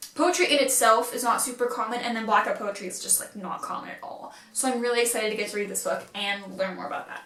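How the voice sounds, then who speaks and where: A woman with a fairly high pitch talks very fast in an animated tone, with hardly any pauses, ordinary pitch variation and big swings in loudness, against noticeable background noise. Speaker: booktuber. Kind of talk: casual vlog book haul.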